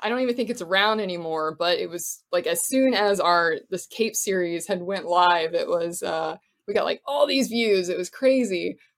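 Here a woman with an American accent uses a normal speaking voice, medium in pitch, with ordinary pitch variation and a moderate pace. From Florida. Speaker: actor and filmmaker. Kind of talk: casual interview chat.

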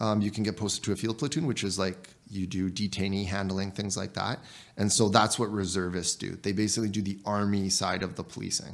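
Here is an ordinary speaking voice from a man with a Canadian accent. His pitch is fairly low and his intonation fairly even. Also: fairly quick pace. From Canada (small town, central Alberta area). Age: 30s. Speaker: town councillor and soldier. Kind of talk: casual interview.

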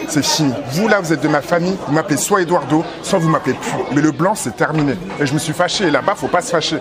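A man's fairly high-pitched voice at a very fast pace, with ordinary pitch variation and crowd noise in the background. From raised in France, Togolese family. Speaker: street food cook. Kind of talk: casual chat. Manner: animated, frequent laughter.

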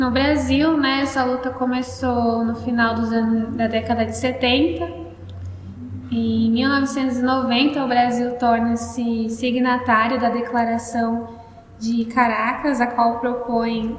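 A woman speaks at a high pitch and a very slow pace, her intonation monotone and flat. Noticeable background noise and audible room echo fill the recording. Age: 18. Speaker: psychology student, podcast co-host. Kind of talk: casual student discussion, partly read-out facts.

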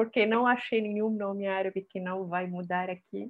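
The woman talks at a fairly slow pace. Her intonation is monotone and flat. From Syria. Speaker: singer. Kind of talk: interview.

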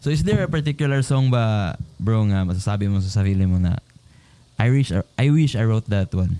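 A man speaks at a fairly quick pace with a fairly low pitch and lively intonation. His tone is dark and mellow, his loudness very even. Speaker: podcast host. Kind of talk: casual interview chat.

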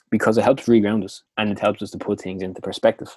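In a Dublin accent, a man speaks at a very fast pace with a fairly low pitch. The recording is very clean with a silent background and a dry, close sound with no echo. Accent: Dublin Irish. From Dublin, Ireland. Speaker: motivational podcast host. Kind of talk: scripted-style motivational talk. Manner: casual, upbeat, chatty.

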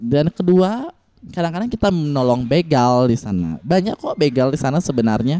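A man with a fairly high pitch and a dark, mellow tone. His pitch swings very widely. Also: moderate pace, dry, close sound with no echo. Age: 20s. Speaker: transgender and sex worker rights activist. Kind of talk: interview.

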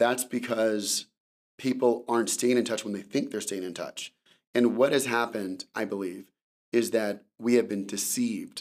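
A normal speaking voice in an American accent, delivered at a moderate pace. The intonation stays fairly even. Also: man, medium pitch for a man. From California. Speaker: tech company founder and CEO. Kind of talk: interview. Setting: studio.

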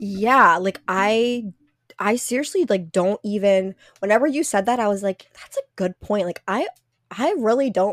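With an American accent, a woman in a normal speaking voice talks at a moderate pace and medium pitch with ordinary pitch variation, in a very clean recording with a silent background and a dry, close sound with no echo. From central Pennsylvania. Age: 30s. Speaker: podcast co-host, exercise scientist. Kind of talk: casual interview.

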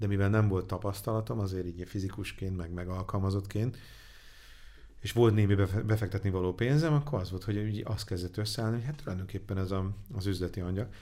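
A man speaks at a very fast pace in a fairly low pitch. His tone is dark and mellow, with ordinary pitch variation. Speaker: angel investor. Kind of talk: interview. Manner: halting.

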